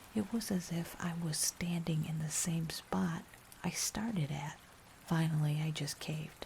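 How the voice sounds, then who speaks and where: Whispering at a fairly slow pace. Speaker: ASMR horror narrator. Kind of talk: ASMR scary story narration. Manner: whispered.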